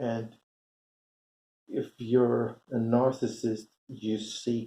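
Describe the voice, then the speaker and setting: A man speaks very slowly with a Swedish accent. His voice sits at medium pitch with a dark, mellow tone. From Sweden. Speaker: commentary vlogger. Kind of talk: casual monologue. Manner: halting, many fillers.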